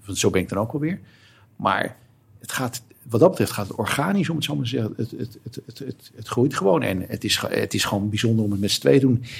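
Fairly quick and somewhat breathy, a man's voice ranges through very wide pitch swings. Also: medium pitch for a man. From Netherlands, Alkmaar (North Holland). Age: 50s. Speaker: lawyer and football supporter. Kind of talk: casual chat. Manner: halting, repeats words.

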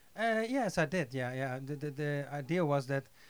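A man with a Dutch accent and a fairly high pitch. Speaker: music composer. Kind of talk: interview. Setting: studio.

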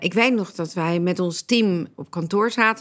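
A woman talks at a fairly slow pace in an ordinary speaking voice, medium in pitch with ordinary pitch variation. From Netherlands, Leiden. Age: 60s. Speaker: entrepreneur. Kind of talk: personal interview testimony.

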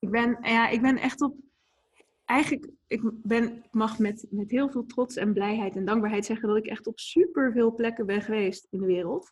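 This woman has a fairly high pitch, ordinary pitch variation and a moderate pace. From Netherlands (Etten-Leur, Noord-Brabant, and Leiden). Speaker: ice bath instructor and entrepreneur. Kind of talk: interview. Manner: halting, many fillers and repetitions.

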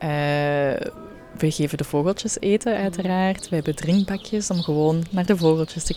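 There is noticeable background noise in this clip. The woman's delivery is moderately paced. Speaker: podcast host. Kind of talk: interview. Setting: hotel interior.

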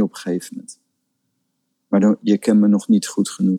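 A man is heard with a dry, close sound and no echo. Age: 50s. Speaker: spiritual teacher. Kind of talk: casual chat.

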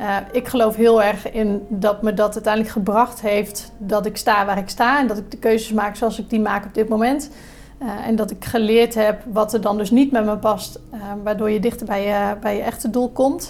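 The speaker talks at a moderate pace in a monotone with flat intonation. Noticeable background noise is present. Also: woman. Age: 30s. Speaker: hospitality entrepreneur and hotel manager. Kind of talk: podcast interview. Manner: hesitant, many filler sounds.

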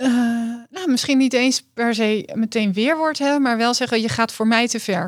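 A woman with an unremarkable speaking voice talks at a moderate pace in a fairly high pitch. Her loudness stays very even, and her pitch varies in an ordinary way. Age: 40s. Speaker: dietitian. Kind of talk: coaching session client.

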